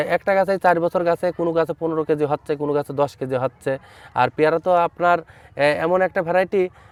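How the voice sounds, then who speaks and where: A man speaks in a high voice with fairly even intonation. The sound is dry and close, with no echo. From Bangladesh, Chuadanga district. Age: young. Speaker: fruit farmer and nursery owner. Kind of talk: field interview. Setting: outdoors in an orchard.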